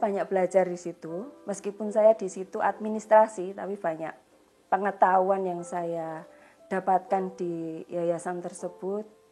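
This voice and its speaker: A woman speaks at a fairly slow pace in a medium pitch, her tone dark and mellow. Her intonation stays fairly even while her loudness swings widely. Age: 40s. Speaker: church member. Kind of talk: testimony. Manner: halting, frequent fillers.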